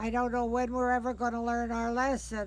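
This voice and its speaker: The pitch is fairly high. The speaker is a woman. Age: 80s+. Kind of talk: interview answer. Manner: feisty, confident.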